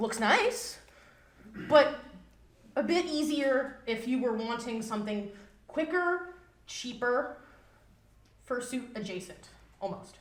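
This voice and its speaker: Loud and lively in intonation, a woman speaks at a high pitch and a very slow pace with long, frequent pauses, amid audible room echo. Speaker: fursuit maker giving convention panel. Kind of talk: convention panel presentation. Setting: live panel room with audience.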